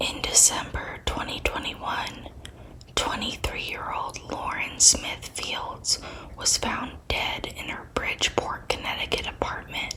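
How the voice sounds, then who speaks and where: A whisper with noticeable background noise. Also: fairly slow pace. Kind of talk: ASMR true crime narration. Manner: whispered.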